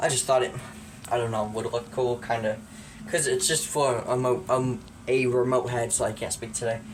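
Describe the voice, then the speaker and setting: A man speaks at medium pitch amid noticeable background noise and audible room echo. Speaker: hobbyist collector showing his collection. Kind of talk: casual show-and-tell tutorial. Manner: casual, hesitant with fillers; quiet, lowered voice.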